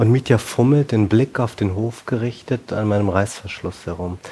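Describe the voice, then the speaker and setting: Speaking at a moderate pace, a man with a fairly low pitch sounds somewhat breathy and keeps his intonation fairly even. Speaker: novelist. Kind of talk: reading aloud. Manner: halting.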